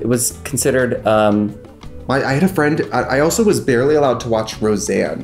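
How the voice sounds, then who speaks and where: The speech moves at a fairly quick pace. Faint music plays in the background. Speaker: makeup video host. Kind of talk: casual chat during a makeup tutorial. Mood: playful, joking, laughing. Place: home room.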